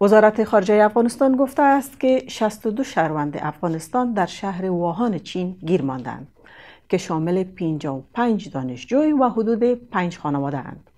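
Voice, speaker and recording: A woman at medium pitch with very wide pitch swings and a moderate pace, on a very clean recording with a silent background. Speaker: news presenter. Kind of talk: news reading. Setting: studio. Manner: formal; steady, measured delivery.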